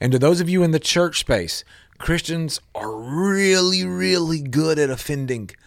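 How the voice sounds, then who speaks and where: A man talks in a plain, everyday voice at a fairly high pitch. His pace is fairly slow and his intonation lively. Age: 40s. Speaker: radio host. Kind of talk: radio talk show interview. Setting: studio.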